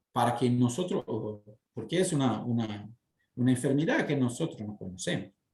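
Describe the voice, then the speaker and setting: With a Portuguese accent, a man speaks at a moderate pace in a somewhat breathy voice, using lively intonation and long, frequent pauses. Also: medium pitch for a man. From southern Brazil, Porto Alegre. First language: Portuguese (speaking Spanish). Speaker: city guest speaker. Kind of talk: interview. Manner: halting, many fillers.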